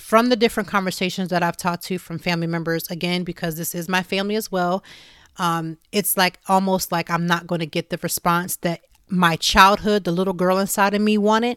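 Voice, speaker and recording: An unremarkable speaking voice from a woman with an American accent, medium in pitch with fairly even intonation, on a very clean, silent-background recording that sounds dry and close with no echo. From US Midwest, Youngstown, Ohio. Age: 40s. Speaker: podcast host. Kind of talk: casual chat.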